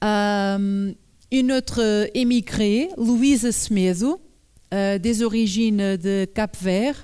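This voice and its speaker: A woman with a Portuguese accent speaks very slowly in a dark, mellow tone. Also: very clean recording, silent background. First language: Portuguese (speaking French). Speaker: journalist and author giving a talk. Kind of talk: public lecture. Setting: conference hall with audience. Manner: halting, many hesitations.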